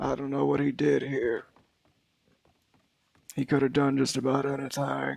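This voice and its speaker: A man puts on a character voice at a medium pitch, raspy in texture. He speaks at a moderate pace with long, frequent pauses. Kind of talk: western roleplay drawl. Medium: game stream. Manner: slow, weary, measured.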